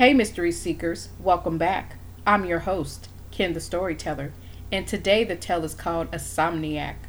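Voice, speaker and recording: An ordinary speaking voice at a moderate pace with ordinary pitch variation. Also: woman, fairly low pitch for a woman. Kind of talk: horror narration. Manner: hushed, ominous, suspenseful pacing.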